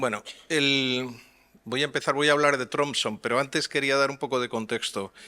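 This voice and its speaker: Speaking with a Madrid accent, a man with a fairly high pitch uses a bright, sharp tone, fairly even intonation and a moderate pace. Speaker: transparency advocate panelist. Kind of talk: conference panel talk. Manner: hesitant, many fillers.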